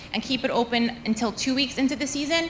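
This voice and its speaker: A woman's very fast speech over noticeable background noise. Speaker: school athletics administrator. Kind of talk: presentation at school board meeting. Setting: school board meeting.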